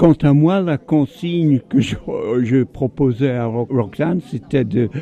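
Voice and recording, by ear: Slow-paced, a man speaks in a dark, mellow tone with ordinary pitch variation.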